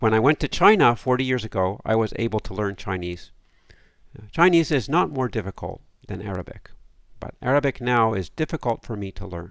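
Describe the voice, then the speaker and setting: A man speaks in a normal speaking voice at a medium pitch and a fairly quick pace. His intonation is lively, and the recording is very clean with a silent background. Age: 60s. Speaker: academic lecturer. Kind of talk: lecture.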